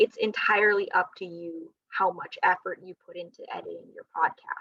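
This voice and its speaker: A woman speaks in a dry, close sound with no echo. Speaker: librarian presenter. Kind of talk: lecture. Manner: animated.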